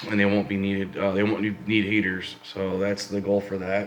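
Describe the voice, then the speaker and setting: Noticeable noise sits behind this man's fairly low voice. His intonation stays flat and monotone. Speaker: fish keeping hobbyist vlogger. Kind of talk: casual video update. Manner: casual, some filler words.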